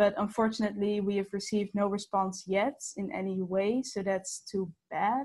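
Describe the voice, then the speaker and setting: Against a quiet background, a woman speaks at a moderate pace, somewhat breathy and with hardly any pauses. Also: medium pitch for a woman, ordinary pitch variation. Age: 19. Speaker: student petition organiser. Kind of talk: webinar presentation. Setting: video call. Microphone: webcam.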